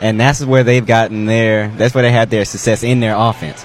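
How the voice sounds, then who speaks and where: A man talks at a fairly quick pace in a medium pitch with fairly even intonation, over noticeable background noise. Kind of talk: color commentary alongside the play-by-play, with brief reactions.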